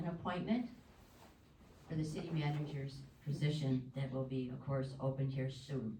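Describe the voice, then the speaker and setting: A woman's fairly slow speech with audible room echo. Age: 60s. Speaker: resident speaking at public comment. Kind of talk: public comment at council meeting. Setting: city council meeting room. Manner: formal.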